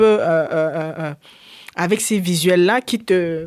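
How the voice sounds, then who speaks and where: A woman speaks in a medium pitch, and her pitch rises and falls in an ordinary way. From Cameroon. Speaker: DJ and media founder. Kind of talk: casual interview. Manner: halting.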